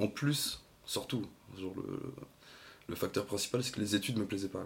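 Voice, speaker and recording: A man talks at a fairly quick pace in a fairly low, somewhat breathy voice. His intonation stays fairly even. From Brittany, France (Lorient). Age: 20s. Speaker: podcast guest. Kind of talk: casual interview.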